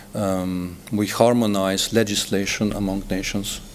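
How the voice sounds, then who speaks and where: With a Slovenian accent, a man talks at a fairly slow pace and fairly low pitch with fairly even intonation, amid noticeable background noise. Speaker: diplomat. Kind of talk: TV interview. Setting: TV studio. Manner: halting, many fillers.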